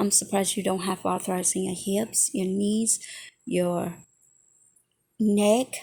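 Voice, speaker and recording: A woman's somewhat breathy, dark, mellow voice at medium pitch, fairly even in intonation and fairly slow, on a very clean recording with a silent background. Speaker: reaction video creator. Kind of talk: reaction commentary.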